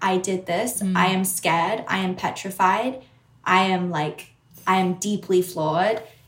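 A woman speaks fairly slowly at a medium pitch, somewhat breathy. Her intonation stays fairly even. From Sydney, Australia. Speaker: musician. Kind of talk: casual interview chat.

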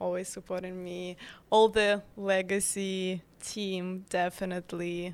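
A woman speaks at a very slow pace in a Ukrainian accent. Her medium-pitched voice has monotone, flat intonation. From Ukraine. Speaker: bakery founder guest. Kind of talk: casual interview chat.

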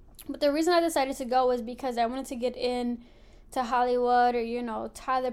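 Talking at a fairly quick pace, a woman with a Philadelphia accent sounds animated in her high voice. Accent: Philadelphia American. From Philadelphia, US. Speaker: podcast host, Navy veteran. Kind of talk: casual monologue. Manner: animated, frequent laughter.

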